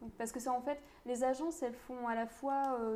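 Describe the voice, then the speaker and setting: Against noticeable background noise, a woman talks in a high pitch. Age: 20s. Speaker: law student, podcast co-host. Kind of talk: casual chat.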